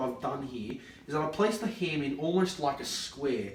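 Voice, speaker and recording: With an Australian accent, a man talks at a fairly quick pace and ordinary pitch variation amid noticeable background noise and audible room echo. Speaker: comedy video host. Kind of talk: comedic tutorial skit. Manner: animated.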